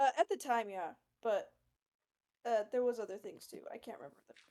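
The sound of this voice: The speaker has an American accent, a dark, mellow tone, a fairly quick pace and lively intonation. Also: woman, fairly high pitch for a woman.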